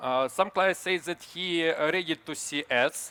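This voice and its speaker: A man's bright, sharp tone with ordinary pitch variation. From Ukraine. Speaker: startup founder. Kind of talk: startup pitch. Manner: halting; fast.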